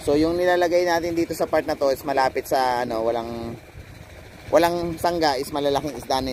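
A man at a fairly quick pace with ordinary pitch variation, dry sound with no echo and light background noise. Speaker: fish farmer vlogger. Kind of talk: casual vlog chat. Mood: slightly nervous, amused. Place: waterside. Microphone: phone near.

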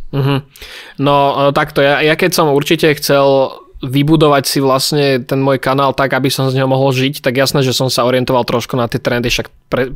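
Over a quiet background, a man speaks at medium pitch in a monotone, flat intonation with very even loudness. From Slovakia. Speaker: youtuber. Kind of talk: casual chat. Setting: video call. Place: home room. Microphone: studio mic.

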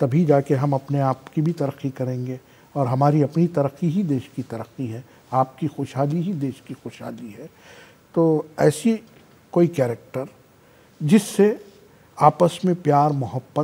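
A man's fairly high-pitched, somewhat breathy voice with a dark, mellow tone, ordinary pitch variation, big swings in loudness, a fairly slow pace and long, frequent pauses. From India. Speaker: comedian and actor; comedian guest. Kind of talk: interview. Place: studio. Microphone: lapel.

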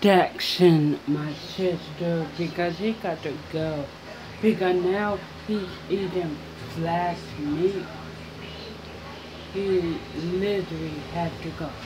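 Speech comes at a very slow pace, broken by long, frequent pauses. Noticeable background noise sits behind it. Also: woman, fairly low pitch for a woman. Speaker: home vlogger. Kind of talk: casual vlog chat. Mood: annoyed, exasperated. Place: kitchen. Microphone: phone near.

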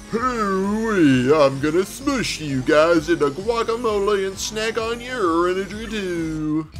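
Using a put-on character voice at a middle pitch, the speaker goes at a fairly slow pace with hardly any pauses, over clear background noise. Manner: exaggerated, boastful, threatening.

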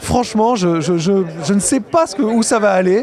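Crowd noise in the background, with a dry sound and no echo. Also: man. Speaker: games journalist. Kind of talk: on-location report to camera. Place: hall. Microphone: handheld.

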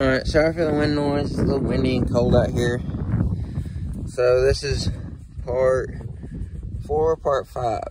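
Speaking at a fairly slow pace with long, frequent pauses, a man comes through dry with no echo but with noticeable background noise. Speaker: hobby tractor restorer. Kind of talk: casual vlog chat. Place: farm machine. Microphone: phone near.

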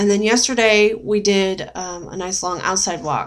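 Quiet surroundings around a woman's voice. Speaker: weight-loss surgery vlogger. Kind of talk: casual vlog chat. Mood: puzzled, mildly frustrated. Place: home room. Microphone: webcam.

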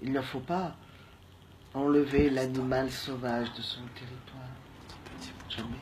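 Against noticeable background noise, the speaker talks in a playful tone at a very slow pace, with long, frequent pauses. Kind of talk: spoken-word poetry, whimsical alphabet improvisation. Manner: slow, dreamy, playful and halting, with pauses and repetitions; murmured, soft-spoken.

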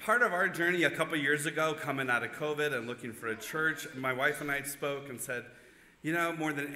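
Ordinary pitch variation colors the man's speech, which moves at a fairly quick pace. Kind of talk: welcome announcement and prayer. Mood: warm, lightly humorous. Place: church. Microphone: podium.

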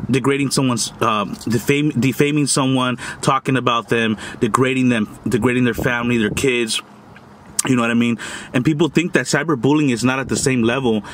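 A man speaks at a fairly quick pace with fairly even intonation, in a dry sound with no echo and light background noise. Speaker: food vlogger. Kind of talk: casual vlog chat. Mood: earnest, lecturing about bullying. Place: car. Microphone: phone near.

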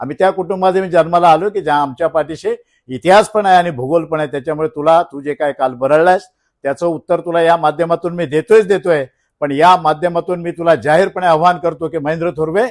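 Quiet background, dry and close sound with no echo. A man talks at a high pitch. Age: 60s. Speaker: local politician. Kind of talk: press conference statement. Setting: press conference. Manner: animated.

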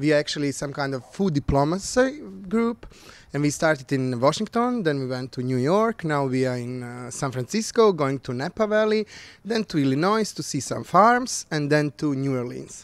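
Speaking at a moderate pace, a man with a fairly high pitch makes very wide pitch swings in a dry sound with no echo. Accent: Bosnian. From Bosnia. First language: Bosnian/Croatian. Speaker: culinary expert. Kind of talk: interview. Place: home room. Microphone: handheld.

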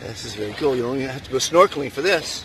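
A man at a very fast pace, medium in pitch, with lively intonation and faint background noise

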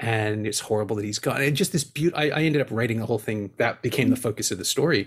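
Somewhat breathy and at medium pitch, a man rushes along at a very fast pace with hardly any pauses and ordinary pitch variation. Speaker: podcast host and film festival programmer. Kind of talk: casual interview chat about a film.

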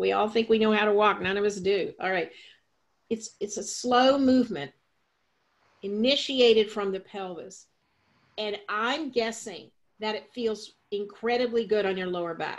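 Against a quiet background, a woman talks at a moderate pace with a fairly high pitch, ordinary pitch variation, an animated, playful tone and long, frequent pauses. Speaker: yoga teacher. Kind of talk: live yoga class instruction, guiding a demonstration. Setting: studio with a live class. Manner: animated, playful, coaching with cues and laughter; directive, clear step-by-step cues. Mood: warm, enthusiastic. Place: home room. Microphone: webcam.

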